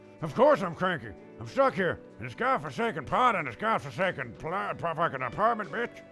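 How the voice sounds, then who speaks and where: Over clear music in the background, a man does a gruff, put-on character voice at a high pitch, with very wide pitch swings, at a moderate pace. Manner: cranky.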